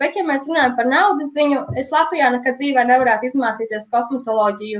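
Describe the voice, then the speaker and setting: Her intonation lively, a woman speaks in a high-pitched voice. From Latvia, Cēsis; moved to England at 13-14. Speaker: eyelash extension specialist and trainer. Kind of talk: casual interview.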